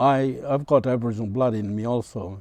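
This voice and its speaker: A man talks in a dark, mellow tone. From Torres Strait Islands, Australia. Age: 70s. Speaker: community elder. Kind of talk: health advice talk. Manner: halting, frequent uh fillers.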